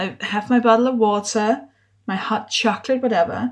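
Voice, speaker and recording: A woman speaks in a Danish accent at a fairly high pitch, somewhat breathy. The recording is very clean, with a silent background. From Denmark. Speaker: podcast host and comedian. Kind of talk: casual interview.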